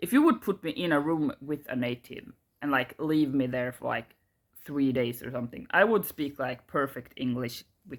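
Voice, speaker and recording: The speaker has a strong Swedish accent and keeps a moderate pace. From Sweden. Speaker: YouTuber. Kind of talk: casual rant to camera. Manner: halting, many fillers.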